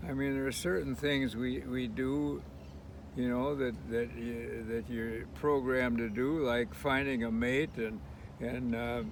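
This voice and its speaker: Noticeable background noise sits behind this man's voice. He speaks at medium pitch with lively intonation. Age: 80s+. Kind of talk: conversation. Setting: outdoors.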